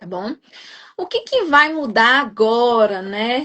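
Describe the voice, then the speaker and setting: A woman talks very slowly, her high voice showing ordinary pitch variation. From Brazil, Minas Gerais. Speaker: nurse and exam prep coach. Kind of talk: live-stream interview. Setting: online live stream.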